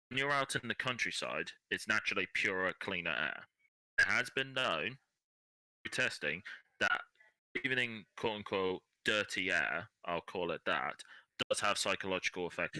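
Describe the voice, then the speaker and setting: A man with an English accent talks at a fairly low pitch and a moderate pace, his tone bright and sharp, his intonation lively, with long, frequent pauses and a dry, close sound with no echo. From England. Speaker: podcast guest. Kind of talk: casual chat.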